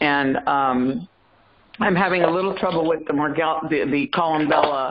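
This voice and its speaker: A woman with an American accent, very deep, low pitch, ordinary pitch variation, very even loudness and moderate pace, over noticeable background noise. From US South, South Carolina. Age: 60s. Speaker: caller. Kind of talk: testimony. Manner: halting.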